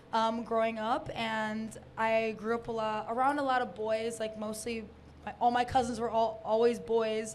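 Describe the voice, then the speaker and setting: A woman's fairly high voice, monotone and flat in intonation, at a moderate pace amid audible room echo. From Detroit, Michigan, US. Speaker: electronic music producer and DJ. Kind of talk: interview. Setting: live stage with audience.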